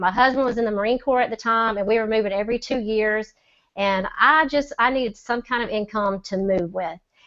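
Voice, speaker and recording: A woman with a Southern US accent and ordinary pitch variation. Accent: Southern drawl. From US South, Mississippi. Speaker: online seller. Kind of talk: testimony. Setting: video call.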